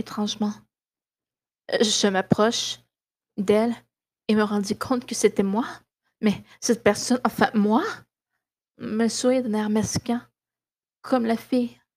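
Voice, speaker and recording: A woman speaks at a fairly slow pace with long, frequent pauses. Her fairly high voice is somewhat breathy, and her intonation is monotone and flat. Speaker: podcast host reading horror story. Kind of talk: ghost story telling, scripted creepypasta narration read aloud. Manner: hushed, suspenseful, dramatic pacing with pauses.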